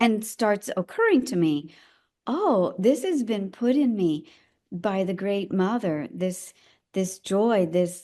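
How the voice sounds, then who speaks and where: A woman with an American accent speaks at a very slow pace in a dark, mellow tone. Her medium pitch carries lively intonation against a quiet background. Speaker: elder midwife. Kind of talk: interview conversation.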